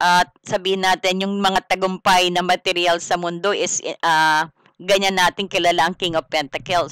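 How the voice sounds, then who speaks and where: Speech at a moderate speed, very cleanly recorded against silence. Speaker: tarot reader. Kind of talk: tarot reading. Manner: loud; casual, conversational.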